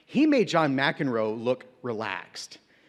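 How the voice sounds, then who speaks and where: Speaking at a fairly slow pace over a very clean, silent background, a man with an American accent shows vocal fry and very wide pitch swings. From United States. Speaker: teacher, invited speaker. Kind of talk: motivational speech.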